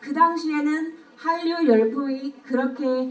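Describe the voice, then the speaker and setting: A woman with a Burmese accent speaks at a high pitch over noticeable background noise. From Myanmar. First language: Burmese (speaking Korean). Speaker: speech contest participant. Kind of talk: speech contest oration. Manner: formal.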